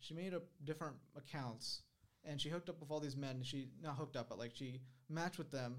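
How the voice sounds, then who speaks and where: With fairly even intonation, a man speaks at a fairly quick pace and a fairly high pitch. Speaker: YouTuber. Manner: monotone.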